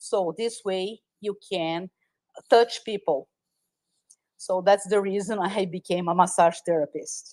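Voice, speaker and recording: A woman with a Brazilian Portuguese accent, fairly slow and fairly even in intonation, with long, frequent pauses and a dry, close sound with no echo. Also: medium pitch for a woman. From Brazil, Sao Paulo. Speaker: massage therapist. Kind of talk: interview. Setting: live audio space streamed online.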